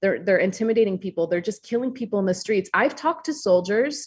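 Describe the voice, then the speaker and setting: Against a quiet background, a somewhat breathy woman with an American accent speaks with lively intonation. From US Upper Peninsula, Michigan. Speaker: author. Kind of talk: podcast interview. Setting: call.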